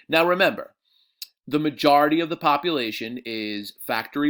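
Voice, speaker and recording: Speaking with an American accent, a man uses ordinary pitch variation. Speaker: high school history teacher. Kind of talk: recorded lecture review for students. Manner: casual, many fillers.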